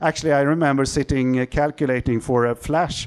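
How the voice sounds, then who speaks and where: With a Swedish accent, a man speaks at a medium pitch and with fairly even intonation. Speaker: optical engineer, company CEO. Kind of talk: conference talk. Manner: halting, many fillers.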